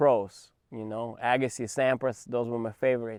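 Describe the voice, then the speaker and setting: A man with a Russian accent at a moderate pace, dry, close sound with no echo and a quiet background. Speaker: tennis coach. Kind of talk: interview storytelling.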